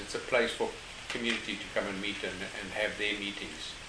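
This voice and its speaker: A fairly quick-paced male speaker amid noticeable background noise. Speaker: project manager, turtle conservation. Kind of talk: casual interview.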